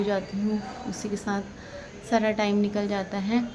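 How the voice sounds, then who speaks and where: Amid noticeable background noise and audible room echo, a woman speaks fairly slowly at a medium pitch. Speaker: family vlogger. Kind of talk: casual vlog talk.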